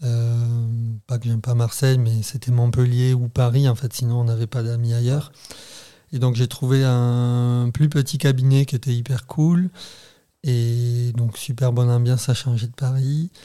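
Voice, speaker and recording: A man speaks at a fairly slow pace in a southern French accent, his dark, mellow tone somewhat breathy and his intonation monotone and flat. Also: medium pitch for a man. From southern France, Béziers. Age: 30s. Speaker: renewable energy worker, podcast guest. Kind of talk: casual chat.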